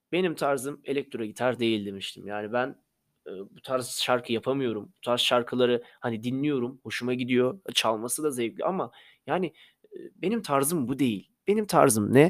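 An ordinary speaking voice moves at a moderate pace with ordinary pitch variation and big swings in loudness, captured on a very clean recording with a silent background. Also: man, medium pitch for a man. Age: 20s. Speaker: podcaster and amateur musician. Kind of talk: casual monologue.

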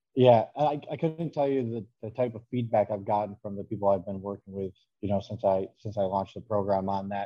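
Speaking at a fairly quick pace, a man uses a fairly low pitch with ordinary pitch variation. He has a plain, everyday voice. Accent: American. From northern New York. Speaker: fitness coach. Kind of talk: casual interview.

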